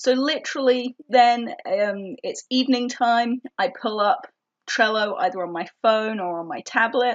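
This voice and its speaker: A woman with an English accent, lively in intonation, at a moderate pace. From England. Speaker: organizing tips vlogger. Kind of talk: tutorial. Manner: casual, with fillers.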